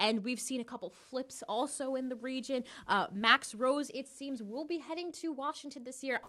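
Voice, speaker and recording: A woman speaks at a moderate pace in a high, bright, sharp voice that is raised and projected, with ordinary pitch variation and hardly any pauses. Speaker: news anchor and reporter. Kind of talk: live election night news report.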